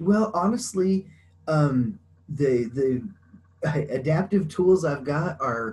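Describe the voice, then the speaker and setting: A somewhat breathy man's voice with lively intonation over light background noise. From US West, small town in Colorado. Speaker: blind woodworker; interview guest. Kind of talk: interview. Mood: relaxed, friendly. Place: home room. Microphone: video call.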